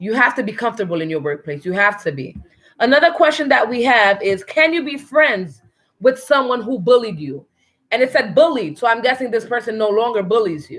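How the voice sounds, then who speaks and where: With vocal fry and a fairly high pitch, a woman talks at a fairly quick pace, her pitch swinging very widely and her loudness rising and falling in big swings. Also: very clean recording, silent background. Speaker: family show host. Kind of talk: casual chat. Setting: at home. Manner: stutters at times.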